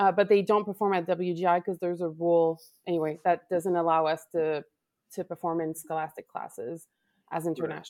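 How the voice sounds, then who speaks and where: A woman with a Quebec accent speaks at a fairly quick pace with fairly even intonation and fairly low pitch. The recording is very clean, with a silent background. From Quebec, Canada (Laval). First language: French. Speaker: color guard director. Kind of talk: casual chat. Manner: halting, searches for words.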